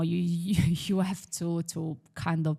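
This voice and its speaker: The woman's voice is fairly low in pitch, with fairly even intonation. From Italy, Milan. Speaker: property investor. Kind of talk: podcast interview.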